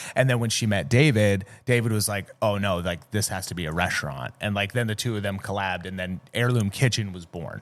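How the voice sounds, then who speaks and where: In a very clean recording with a silent background, a man with an American accent talks at a fairly quick pace and ordinary pitch variation. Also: hardly any pauses. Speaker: restaurant manager. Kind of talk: casual interview. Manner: loud; fast, filler-heavy.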